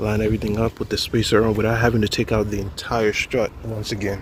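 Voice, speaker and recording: Medium-pitched male speech with noticeable background noise behind it. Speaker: DIY car video creator. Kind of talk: tutorial. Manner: casual, halting with fillers.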